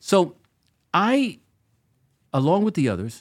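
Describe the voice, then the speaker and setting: A man speaks with very wide swings in pitch. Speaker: author and former activist. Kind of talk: storytelling in interview. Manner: animated storyteller.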